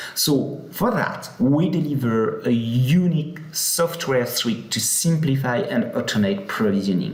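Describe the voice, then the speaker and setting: A man's fairly high voice with a French accent, lively intonation and a fairly slow pace with hardly any pauses, amid noticeable background noise and audible room echo. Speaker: software company product head. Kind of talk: conference presentation. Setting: live session at a conference. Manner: hesitant with many fillers.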